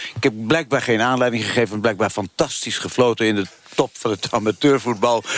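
Noticeable background noise behind a man's medium-pitched speech, its pitch varying in an ordinary way. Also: fairly quick pace. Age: 80s+. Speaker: former football referee and ex-politician. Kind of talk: live radio debate.

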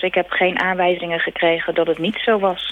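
A woman speaks at a moderate pace in a fairly low pitch. It is an ordinary speaking voice. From Netherlands, Rotterdam. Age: 30s. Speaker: emigrant. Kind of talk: interview. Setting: phone call.

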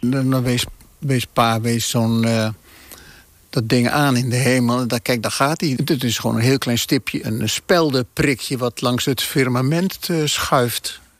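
At a fairly slow pace, an unremarkable speaking voice comes through with ordinary pitch variation and a dry, close sound with no echo. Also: man, medium pitch for a man. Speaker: family member of host. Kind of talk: casual reminiscing. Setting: on location at old family house.

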